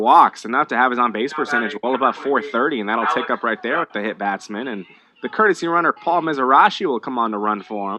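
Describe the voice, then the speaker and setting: A man's medium-pitched voice with lively intonation and a very fast pace. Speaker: radio play-by-play baseball announcer. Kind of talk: live radio baseball play-by-play call.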